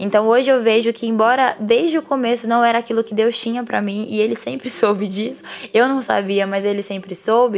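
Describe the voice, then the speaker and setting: Over noticeable background noise, a woman talks at a fairly high pitch and fairly quick pace, with ordinary pitch variation and hardly any pauses. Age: 20s. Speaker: journalism graduate and cello student. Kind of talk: recorded personal testimony.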